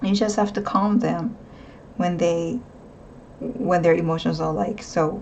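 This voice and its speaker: Someone with a non-native accent speaks with ordinary pitch variation, and audible room echo can be heard. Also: woman. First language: not English. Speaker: tarot reader. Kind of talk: tarot reading monologue. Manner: casual, hesitant with fillers.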